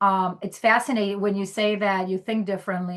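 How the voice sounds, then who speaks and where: Over a quiet background, a woman speaks with a medium pitch. Her intonation stays fairly even. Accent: Albanian. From Greece. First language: Albanian. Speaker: podcast host, HR technology professional. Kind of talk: casual interview chat.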